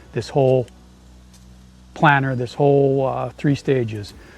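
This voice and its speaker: With an American accent, a man speaks at a moderate pace and medium pitch, his voice somewhat breathy. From US Midwest. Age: 60s. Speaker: small business owner and tradesman. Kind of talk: sales pitch. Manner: halting.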